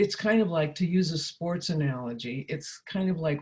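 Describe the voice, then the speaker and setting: A woman speaks with a very deep, low pitch and a somewhat breathy voice. She keeps a moderate pace with ordinary pitch variation. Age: 80s+. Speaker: counselor and trainer. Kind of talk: workshop talk. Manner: hesitant, with many fillers.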